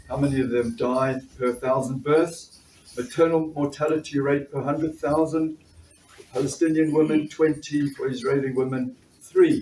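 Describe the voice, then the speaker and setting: A fairly high-pitched man with a South African accent, amid noticeable background noise. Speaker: doctor and trade union activist. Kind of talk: political speech. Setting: conference fringe meeting with audience.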